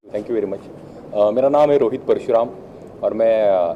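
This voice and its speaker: A man's voice amid noticeable background noise. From Maharashtra, Bhor near Pune. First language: Marathi (speaking Hindi). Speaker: actor. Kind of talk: press event interview. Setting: trailer launch event.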